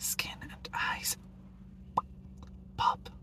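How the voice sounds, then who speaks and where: A man whispering over noticeable background noise. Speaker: ASMR creator. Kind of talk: ASMR whispered show-and-tell. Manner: whispered.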